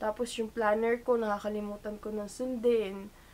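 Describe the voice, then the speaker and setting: Fairly high female voice, with noticeable noise in the background. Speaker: vlogger. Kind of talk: casual vlog talk to camera. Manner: chatty, informal.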